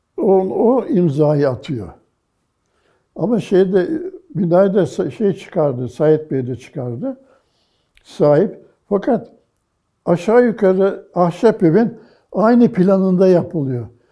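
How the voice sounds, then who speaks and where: Very slow and broken by long, frequent pauses, a man's voice sits at a high pitch with lively intonation. His tone is dark and mellow. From Istanbul, Turkey. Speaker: art historian. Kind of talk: oral history interview answer.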